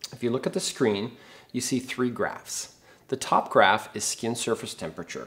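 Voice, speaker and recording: A man talks with ordinary pitch variation. His pace is moderate. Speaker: presenter. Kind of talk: product demo presentation. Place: gym.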